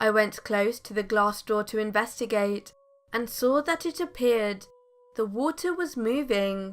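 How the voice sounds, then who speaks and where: A woman with an ordinary speaking voice and fairly high pitch speaks at a fairly slow pace with lively intonation. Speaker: horror story narrator. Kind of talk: true scary story narration.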